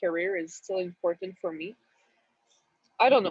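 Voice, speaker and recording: A woman does the talking. Her voice has a medium pitch. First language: not English. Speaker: audience member. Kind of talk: question from audience. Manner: halting.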